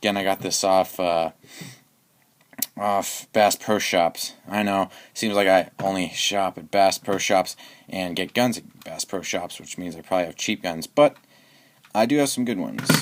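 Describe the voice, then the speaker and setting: With big swings in loudness, a man speaks at a moderate pace, fairly low in pitch with ordinary pitch variation. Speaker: airsoft gun YouTube reviewer. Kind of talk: product review tutorial. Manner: halting, many fillers and restarts; casual.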